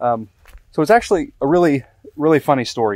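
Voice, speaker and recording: Over a quiet background, a man speaks in a dry sound with no echo. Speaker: candle maker vlogger. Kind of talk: casual vlog chat. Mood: relaxed, upbeat. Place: garden. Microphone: phone near.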